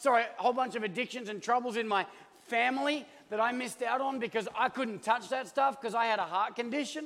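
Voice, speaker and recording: Speaking fairly quickly with an Australian accent, a man talks at an extremely high pitch with ordinary pitch variation. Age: 40s. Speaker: pastor. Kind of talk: sermon. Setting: church. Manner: animated.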